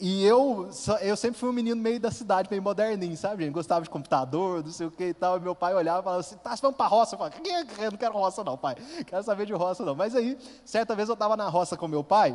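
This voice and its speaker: In an interior Minas Gerais accent, a man speaks very fast at a high pitch with ordinary pitch variation. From interior of Minas Gerais, Brazil (Furnas region). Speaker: lay preacher, youth group coordinator. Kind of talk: sermon.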